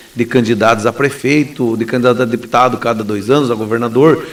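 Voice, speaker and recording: A man speaks over noticeable background noise. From southern Brazil, Paraná southwest. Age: 40s. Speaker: lawyer and gubernatorial candidate. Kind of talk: radio interview.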